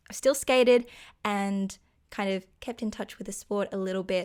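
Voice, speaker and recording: A woman speaks with an Australian accent at a medium pitch and a moderate pace. Her intonation is fairly even, in a very clean recording with a silent background. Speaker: podcast co-host. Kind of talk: casual chat.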